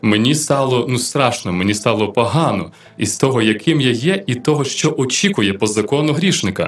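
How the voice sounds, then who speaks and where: A man with a normal speaking voice, medium pitch, lively intonation and very even loudness. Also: moderate pace. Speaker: radio host. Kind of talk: radio Q&A programme. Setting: radio studio.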